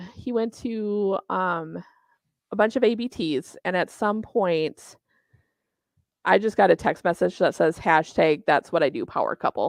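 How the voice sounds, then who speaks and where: At a fairly quick pace and a medium pitch, a woman with a Minnesotan accent speaks with lively intonation, the sound dry and close with no echo over a quiet background. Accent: Minnesota. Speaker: bowling tournament organizer. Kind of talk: casual interview chat.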